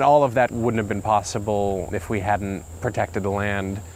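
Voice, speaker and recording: A man's plain, everyday voice, fairly low in pitch, at a moderate pace with fairly even intonation. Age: 30s. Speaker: farmer. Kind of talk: conversation.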